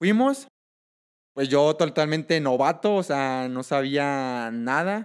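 A man with a fairly high pitch and ordinary pitch variation speaks at a very slow pace in a very clean recording with a silent background. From Mexico, Michoacán. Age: 20s. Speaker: triathlete. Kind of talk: interview.

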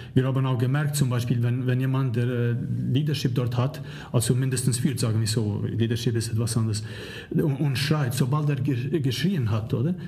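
Audible room echo colors a man's medium-pitched voice, which has fairly even intonation, very even loudness and a moderate pace. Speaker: leadership professor. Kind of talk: interview. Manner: halting, many fillers.

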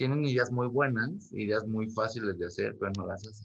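A man talks at a moderate pace, his pitch medium with ordinary variation. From Mexico, Ciudad Nezahualcóyotl. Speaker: photographer. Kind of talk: interview. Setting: video call.

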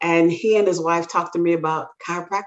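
Speaking at a fairly low pitch, a woman has an American accent. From Brooklyn, New York (Jamaican family). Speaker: chiropractor and instructor. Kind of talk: interview conversation.

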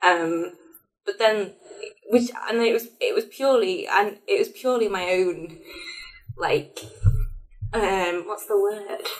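A woman talks at a very slow pace with long, frequent pauses. Her pitch is fairly high and varies in an ordinary way. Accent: Lancashire. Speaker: higher education engagement assistant. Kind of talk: casual chat. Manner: halting, many fillers.

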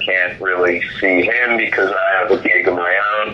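Noticeable background noise behind a man speaking fairly slowly with an American accent. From US, Philadelphia area. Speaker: rock drummer. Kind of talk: casual interview.

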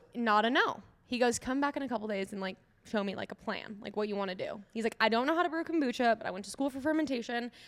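Very fast speech from a woman at a fairly high pitch, ordinary pitch variation, noticeable background noise. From Minnesota (Eagan, Twin Cities suburb). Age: 20s. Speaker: kombucha company founder. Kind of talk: casual interview. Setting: in a tap room.

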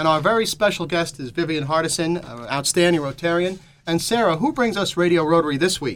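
Against noticeable background noise, a man with an American accent speaks fairly quickly in a fairly high pitch with ordinary pitch variation. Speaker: radio talk show co-host. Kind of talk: broadcast presenter style. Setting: radio studio.

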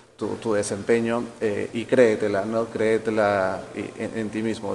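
A man talks at a medium pitch against noticeable background noise. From Peru, Callao. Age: 40s. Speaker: forest engineer, ecosystem restoration specialist. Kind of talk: interview. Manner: halting, many repetitions.

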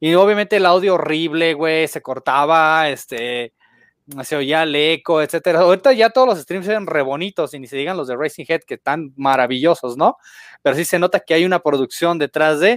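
On a very clean recording with a silent background and a dry, close sound with no echo, a man speaks at a moderate pace with ordinary pitch variation. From Guadalajara, Jalisco, Mexico. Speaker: gaming content creator. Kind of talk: casual chat.

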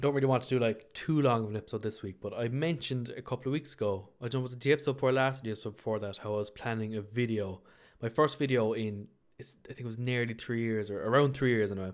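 With an Irish accent, a man speaks at a very fast pace and a medium pitch. His intonation is fairly even, in a very clean recording with a silent background. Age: 20s. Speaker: podcast host. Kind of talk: casual solo chat. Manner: casual, filler-heavy.

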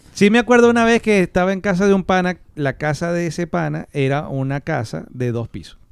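With lively intonation and a high pitch, a man talks at a fairly quick pace with hardly any pauses. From Maracaibo, Venezuela. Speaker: podcast co-host. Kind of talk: casual chat.

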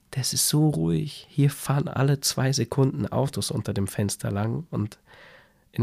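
Soft-spoken and somewhat breathy, a man speaks at a moderate pace in a calm, dark, mellow tone. His intonation is lively. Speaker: podcaster. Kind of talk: spontaneous bedtime story monologue. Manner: calm, soft.

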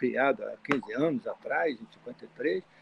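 A man's voice against noticeable background noise. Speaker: chemical engineering professor. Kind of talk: interview. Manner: halting.

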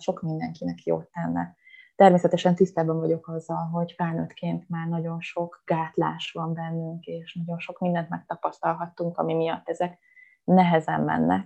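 A woman's voice at a fairly slow pace. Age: 30s. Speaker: yoga instructor. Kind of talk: casual chat.

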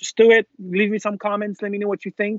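This man's voice sits at a high pitch. He speaks with a Quebec accent. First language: French. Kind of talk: casual chat. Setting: video call.

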